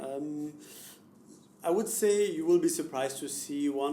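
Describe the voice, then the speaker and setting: A man is speaking. He has a slight German accent. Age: young. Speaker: car company executive. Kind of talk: interview answer.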